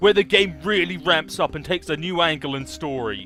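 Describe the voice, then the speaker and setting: Music behind a man's fairly quick delivery. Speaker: let's play gamer. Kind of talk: casual gameplay commentary.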